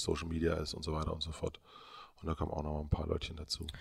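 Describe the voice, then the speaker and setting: A man talks at a very fast pace in a very deep, low voice. His intonation is monotone and flat, and his voice is somewhat breathy. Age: 30s. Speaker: media entrepreneur. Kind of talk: interview. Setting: studio.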